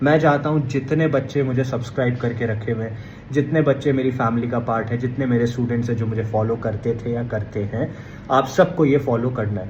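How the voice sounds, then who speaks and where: A man with a medium pitch speaks at a moderate pace with fairly even intonation, and audible room echo surrounds him. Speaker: exam coaching educator. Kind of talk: tutorial.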